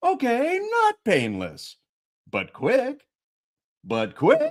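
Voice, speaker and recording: In a put-on character voice, a man speaks at a very slow pace with an extremely high pitch. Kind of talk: game show host. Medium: read story. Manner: upbeat, glib, darkly comic.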